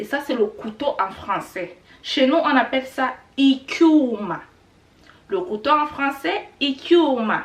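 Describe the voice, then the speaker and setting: A woman with a Rwandan accent, high-pitched and very slow, with very wide pitch swings amid noticeable background noise. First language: Kinyarwanda (speaking French). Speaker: language teacher youtuber. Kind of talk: tutorial. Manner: casual.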